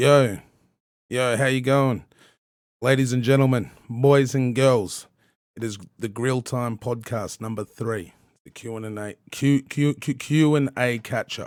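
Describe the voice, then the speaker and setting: A man talks with an Australian accent at a fairly slow pace. His intonation stays fairly even. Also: medium pitch for a man, big swings in loudness, very clean recording, silent background. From Australia, southern Tasmania. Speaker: hip-hop podcast host and rapper. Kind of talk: casual chat. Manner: stuttering; casual, halting with fillers.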